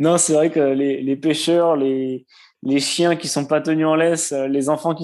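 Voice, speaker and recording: In a quiet background, a man with a slight southwestern French accent talks at a fairly slow pace, his fairly high pitch carried by fairly even intonation. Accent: slight southwest French. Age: 20s. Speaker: air force serviceman and runner. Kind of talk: casual interview.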